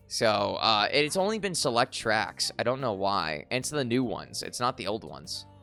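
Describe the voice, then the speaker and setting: A man at medium pitch with very wide pitch swings and hardly any pauses, music in the background. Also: moderate pace. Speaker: VTuber streamer. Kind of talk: casual live stream chat. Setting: live stream. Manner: hesitant, many fillers.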